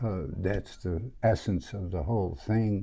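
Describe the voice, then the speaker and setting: Fairly low-pitched and somewhat breathy, a man with a dark, mellow tone talks at a very slow pace with lively intonation. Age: 80s+. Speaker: martial arts student. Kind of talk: casual chat.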